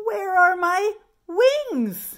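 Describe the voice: Using a put-on character voice, a woman speaks at a very slow pace in an extremely high pitch with big pitch swings and a fairly bright tone.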